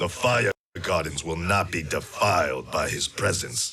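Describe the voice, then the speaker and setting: At a moderate pace, a man puts on a character voice pitched very deep and low. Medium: video game. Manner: terse, formal.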